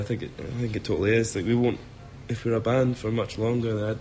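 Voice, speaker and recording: A man speaks with a Scottish accent at a moderate pace. Audible room echo surrounds his voice. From Scotland. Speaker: rock singer and guitarist. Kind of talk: interview.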